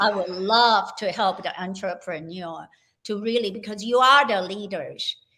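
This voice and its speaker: Here is a plain, everyday voice at a fairly slow pace with ordinary pitch variation. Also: woman. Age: 60s. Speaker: health coach. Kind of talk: interview.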